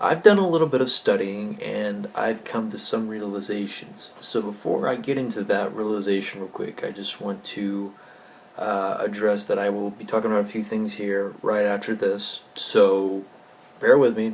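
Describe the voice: A man speaks at a fairly low pitch with fairly even intonation, vocal fry and a slightly mellow tone, with audible room echo around him. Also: moderate pace.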